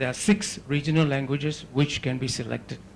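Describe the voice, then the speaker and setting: Somewhat breathy, a man's voice comes through at a fairly high pitch and a fairly slow pace. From Singapore. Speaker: academic conference speaker. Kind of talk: lecture.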